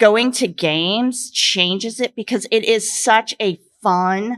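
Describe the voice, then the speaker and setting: In a Midwestern American accent, a bright, sharp tone comes through at a very slow pace with ordinary pitch variation. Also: woman. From Western Nebraska. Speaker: romance author panelist. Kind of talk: convention panel discussion.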